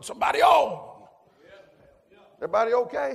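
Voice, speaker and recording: Speaking with an American accent, a man sounds animated in tone. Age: 60s. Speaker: preacher. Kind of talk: sermon. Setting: church with congregation. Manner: animated, fervent preaching with call-and-response.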